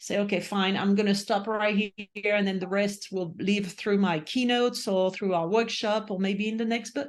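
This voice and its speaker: Against a quiet background, a woman with a medium pitch talks at a fairly quick pace in a monotone, flat intonation. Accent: non-native. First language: not English. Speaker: author and leadership speaker. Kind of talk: interview conversation.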